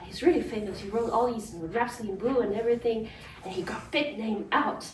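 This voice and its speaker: A woman speaks with a high pitch. Noticeable background noise and audible room echo are present. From China. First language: Chinese. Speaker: pianist. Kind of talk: spoken narration. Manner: casual, with fillers and restarts.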